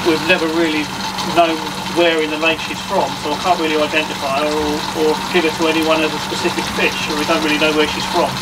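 Loud background noise surrounds a man who talks at a very fast pace. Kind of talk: casual conversation explaining fish. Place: home room. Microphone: phone near.

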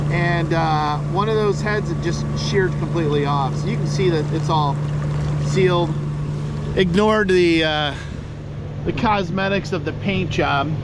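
Over loud background noise, a man talks with long, frequent pauses in a dry sound with no echo. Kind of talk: casual vlog chat. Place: boat. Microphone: phone near.

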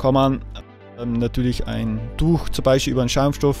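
Faint music plays behind a man whose voice is recorded dry, with no echo. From Austria. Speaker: woodcarver, sculptor. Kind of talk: tutorial talk to camera. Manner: casual, hesitant with fillers. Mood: relaxed, casual.

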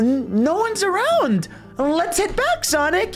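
An extremely high-pitched put-on character voice at a fairly slow pace, with clear music in the background.

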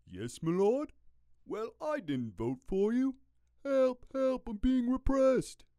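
Someone performs a put-on character voice with a British accent at a fairly high pitch. The pace is fairly slow. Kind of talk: comic, stereotypical.

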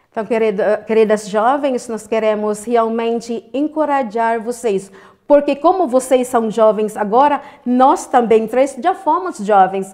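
A woman speaks at a fairly slow pace with a fairly high pitch over a quiet background. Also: ordinary pitch variation. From Philippines. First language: Filipino (Tagalog) (speaking Portuguese). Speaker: interviewee. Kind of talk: interview. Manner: halting. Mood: warm, earnest, encouraging. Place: studio.

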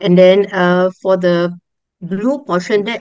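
The speech moves at a fairly slow pace with fairly even intonation. The sound is dry with no echo, against a quiet background. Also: woman. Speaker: schoolteacher. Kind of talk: casual sharing. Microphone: video call.

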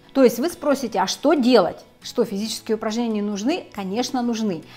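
A woman talking at a fairly quick pace with ordinary pitch variation, faint music in the background. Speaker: health blogger. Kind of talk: casual explanatory vlog talk. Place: home room. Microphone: lapel.

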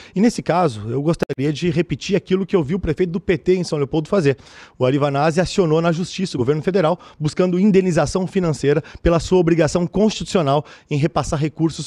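Against a quiet background, a man talks at a very fast pace in a dark, mellow tone. His voice is fairly high, with ordinary pitch variation. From Rio Grande do Sul, Brazil. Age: 30s. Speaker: mayoral candidate; candidate. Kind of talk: televised political debate. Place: studio. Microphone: podium.

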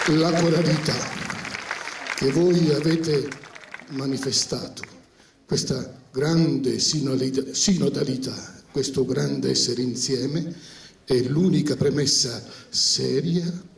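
With audible room echo, a man speaks at a very slow pace, leaving long, frequent pauses. His pitch is fairly high, his intonation fairly even, and his loudness very even. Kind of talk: public address to a theatre audience. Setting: outdoor amphitheatre. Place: stage.

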